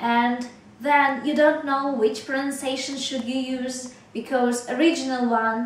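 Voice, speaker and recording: A woman speaks very slowly in a high pitch with a Russian accent, her intonation monotone and flat. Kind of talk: casual talk to camera.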